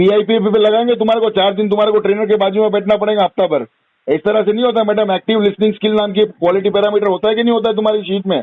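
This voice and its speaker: Speaking with hardly any pauses, a man keeps his loudness very even and his pitch high. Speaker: loan defaulter customer. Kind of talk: heated phone argument. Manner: animated.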